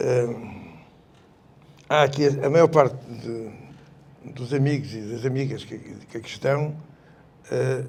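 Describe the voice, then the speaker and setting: A man's somewhat breathy, medium-pitched voice, fairly slow and fairly even in intonation, with audible room echo. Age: 70s. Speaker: retired army colonel, revolution veteran. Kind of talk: public panel talk. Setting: public event with audience.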